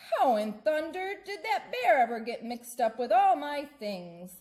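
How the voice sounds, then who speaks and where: Put-on character voice from a woman, high in pitch, swinging very widely at a moderate pace. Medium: read story. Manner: warm, enthusiastic.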